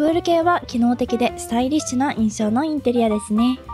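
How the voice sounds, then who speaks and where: A woman's high, lively voice at a fairly quick pace, with music in the background. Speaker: game interior design tutorial creator. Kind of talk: tutorial narration. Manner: polite, explanatory.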